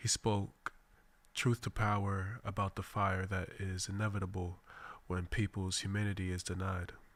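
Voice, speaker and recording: Fairly low-pitched, somewhat breathy male voice, monotone and flat, at a moderate pace on a very clean recording with a silent background. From Boston, Mattapan. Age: 20s. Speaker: radio host. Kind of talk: radio monologue. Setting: radio studio. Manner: formal.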